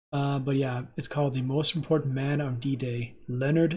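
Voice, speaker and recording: Soft-spoken and somewhat breathy, a man talks at a moderate pace with a fairly high pitch. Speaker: reaction video creator. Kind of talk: casual chat. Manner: casual, filler-heavy.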